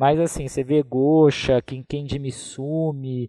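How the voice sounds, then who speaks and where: A man's fairly high, monotone, flat voice, dry and close with no echo, against a quiet background. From Brazil, interior of São Paulo state (Taubaté). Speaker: film curator and critic. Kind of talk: casual chat.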